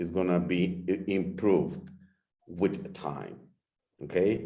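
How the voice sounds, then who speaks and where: At a very slow pace, a dark, mellow voice with a slight Mexican accent carries audible room echo. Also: man. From Mexico. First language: Spanish. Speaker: product distributor. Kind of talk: product explanation.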